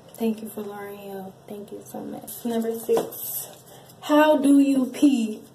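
At a very slow pace, a woman speaks with a fairly high pitch and ordinary pitch variation. Her loudness swings widely, with light background noise. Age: 20s. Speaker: YouTuber, wheelchair user; YouTuber. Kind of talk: casual Q&A vlog. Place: bathroom. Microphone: phone near.

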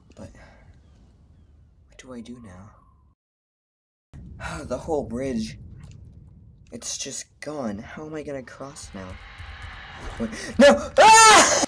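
In a raspy, put-on character voice, the speaker goes at a fairly slow pace with long, frequent pauses. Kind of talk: first-person horror game narration. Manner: panicked, talking to self, fearful.

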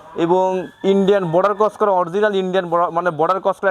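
The speaker is a man with a high pitch. His intonation stays fairly even. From Pabna, northwest Bangladesh. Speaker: cattle farmer and heifer trader. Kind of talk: sales pitch.

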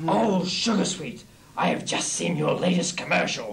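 With clear background noise behind him, a man performs a cartoonish character voice, high-pitched and theatrical in tone, at a moderate pace. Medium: puppet. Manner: theatrical, gloating.

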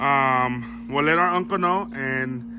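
A man's very slow speech with very wide pitch swings, set against noticeable background noise. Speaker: channel host showing a table. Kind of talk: casual vlog chat. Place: garden. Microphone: phone near.

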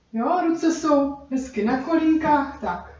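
A woman at a very slow pace, with audible room echo. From Czech Republic. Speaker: dance instructor. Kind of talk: tutorial. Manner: rhythmic counting aloud. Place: kitchen. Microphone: camera far.

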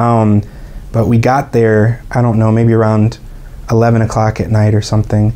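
A man with an American accent, medium in pitch, monotone and flat, at a fairly quick pace. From Atlanta, Georgia, USA; Georgia. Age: 20s. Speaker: English teacher and musician. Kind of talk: interview answer. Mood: relaxed storytelling. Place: studio.

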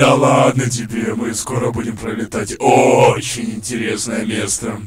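A man's put-on character voice at medium pitch, moderate pace, slight echo. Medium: dub. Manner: sarcastic, sullen.

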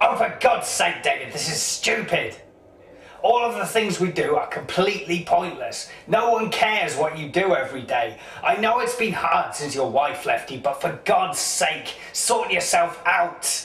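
A man uses a cartoonish character voice pitched high for a man, talking at a moderate pace with a slight echo. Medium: puppet show. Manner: exasperated, blunt, ranting.

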